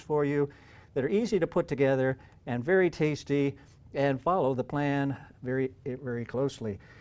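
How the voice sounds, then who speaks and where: In a very clean recording with a silent background, a man uses a normal speaking voice, fairly high in pitch, with lively intonation at a moderate pace. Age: 60s. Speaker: health coach promoting a diet program. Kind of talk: sales pitch.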